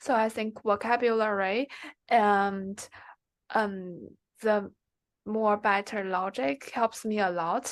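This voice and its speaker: Speaking with a Chinese accent at a very slow pace, a woman uses a medium pitch and fairly even intonation, with long, frequent pauses. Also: quiet background. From China. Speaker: MBA applicant, former student. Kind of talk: interview. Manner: halting.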